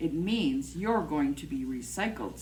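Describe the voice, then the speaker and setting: A put-on character voice, low-to-middle in pitch, at a moderate pace, with clear background noise. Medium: read story. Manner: kindly.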